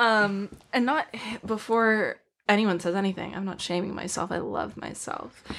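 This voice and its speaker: A woman talks at a moderate pace in an unremarkable speaking voice. Her pitch is medium and her intonation fairly even. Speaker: college student. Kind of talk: casual chat.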